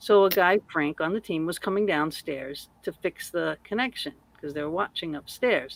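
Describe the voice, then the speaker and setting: Over a very clean recording with a silent background, a woman speaks with lively intonation and a Massachusetts accent. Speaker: paranormal investigator, podcaster. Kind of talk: casual chat.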